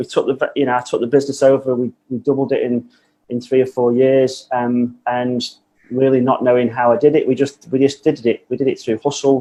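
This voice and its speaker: A man with a Manchester accent, medium-pitched, dark and mellow in tone, fairly quick, flat and monotone in intonation. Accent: Mancunian. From northern England, Manchester. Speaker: business owner, coaching client. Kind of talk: podcast interview.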